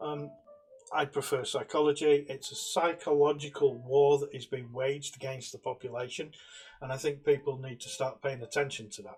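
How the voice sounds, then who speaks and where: A man with a British accent at a medium pitch and moderate pace, ordinary pitch variation, big swings in loudness, and noticeable background noise. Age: 60s. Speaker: political commentator. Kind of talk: monologue.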